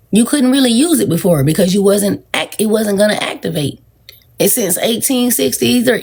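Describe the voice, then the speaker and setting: An animated woman at medium pitch, with vocal fry, very wide pitch swings and a moderate pace. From US South, Georgia. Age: 40s. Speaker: social media livestreamer. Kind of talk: casual livestream talk.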